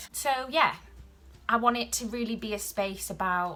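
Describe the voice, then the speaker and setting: A woman speaks with music in the background. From Wales (South Wales). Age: 20s. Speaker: YouTuber and podcaster on women's health. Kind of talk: casual vlog introduction. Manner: hesitant, many filler ums.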